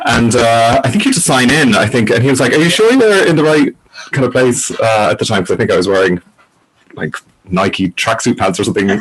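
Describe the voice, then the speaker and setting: A man with a Cork accent talks at a fairly quick pace in a medium pitch. His loudness stays very even while his intonation is lively. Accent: Cork Irish. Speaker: author and interviewer. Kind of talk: casual chat. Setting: video call.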